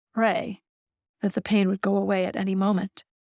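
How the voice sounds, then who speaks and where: In a normal speaking voice at a medium pitch, a woman talks at a fairly quick pace, with a dry, close sound with no echo on a very clean recording with a silent background. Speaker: author and audiobook narrator. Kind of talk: audiobook memoir narration.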